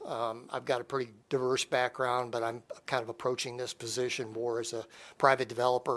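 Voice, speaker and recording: Speaking at a fairly quick pace, a man keeps a medium pitch. His intonation is monotone and flat. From Michigan, military family abroad. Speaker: economic development professional. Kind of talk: self-introduction at council meeting. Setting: city council meeting.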